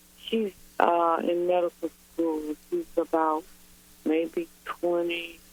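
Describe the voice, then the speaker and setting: Very slowly and with long, frequent pauses, a woman speaks in a fairly low pitch with monotone, flat intonation. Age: 60s. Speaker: caller. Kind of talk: call-in advice conversation. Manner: halting.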